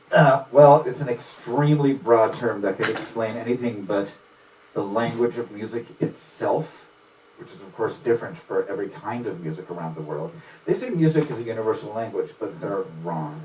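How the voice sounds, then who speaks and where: A man's medium-pitched voice with very wide pitch swings and big swings in loudness, against noticeable background noise. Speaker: music theory instructor. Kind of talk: casual lecture. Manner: fast.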